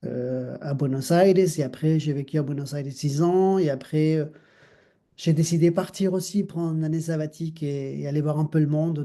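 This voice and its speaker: A man with an Argentine accent and a dark, mellow tone speaks at a moderate pace with a fairly high pitch and fairly even intonation. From Argentina, Mar del Plata. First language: Spanish (speaking French). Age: 50s. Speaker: dancer and choreographer. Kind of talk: interview conversation. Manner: halting, many fillers.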